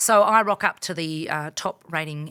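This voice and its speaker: On a very clean recording with a silent background, a woman with a very deep, low pitch and a bright, sharp tone speaks at a moderate pace with ordinary pitch variation. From New Zealand. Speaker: former radio presenter, board member and marketing advisor. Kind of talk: casual interview chat.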